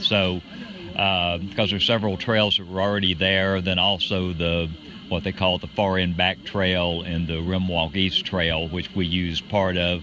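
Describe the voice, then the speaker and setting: A man with a very deep, low voice talks in a monotone, flat way while noticeable background noise runs underneath. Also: moderate pace. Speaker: race director. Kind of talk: casual interview. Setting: outdoors at a trail race.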